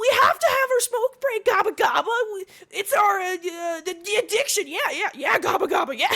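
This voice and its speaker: A woman uses a put-on character voice at an extremely high pitch. Her pace is moderate. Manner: lazy, defensive, whiny.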